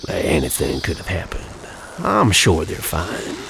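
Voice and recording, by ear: Over faint background noise, a man does a put-on character voice at extremely low pitch with vocal fry, a fairly bright tone, very wide pitch swings, and a fairly slow pace.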